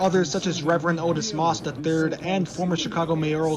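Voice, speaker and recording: A man's fairly high voice at a very fast pace, with ordinary pitch variation, over noticeable background noise. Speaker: broadcast journalism student and reporter. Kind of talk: live field reporter stand-up and voiceover.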